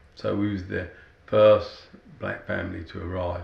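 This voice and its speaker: In a room with audible echo, a man with a London accent speaks at a fairly slow pace. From South London. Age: 60s. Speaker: interviewee. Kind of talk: testimony.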